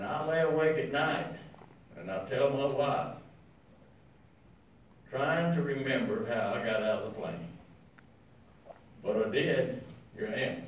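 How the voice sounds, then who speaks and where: With light background noise and audible room echo, a man talks at a fairly slow pace in a fairly high pitch, his pitch swinging very widely between long, frequent pauses. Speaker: war veteran. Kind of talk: speech to an audience. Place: meeting room.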